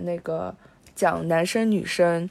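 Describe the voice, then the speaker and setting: Her pace is fairly slow as this woman talks. Everything is very clean, and the background is silent. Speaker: podcast co-host. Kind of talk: casual film discussion.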